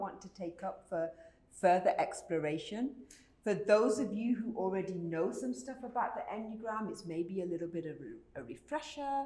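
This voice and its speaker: With a British accent, a woman speaks at a moderate pace and medium pitch, her voice making very wide pitch swings amid audible room echo and noticeable background noise. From Britain. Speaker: conference speaker. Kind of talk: conference talk.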